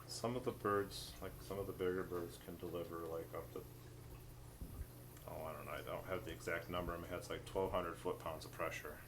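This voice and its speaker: Audible room echo surrounds speech delivered fairly quickly. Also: man. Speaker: wildlife rehabilitator. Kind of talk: tutorial.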